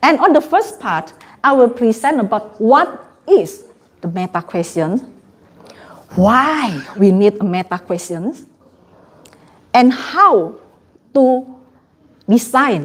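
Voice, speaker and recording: A woman with a non-native accent talks at a very slow pace, leaving long, frequent pauses. Her fairly high voice moves in very wide pitch swings. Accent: non-native English pronunciation. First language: not English. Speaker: trainer. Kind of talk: training workshop presentation.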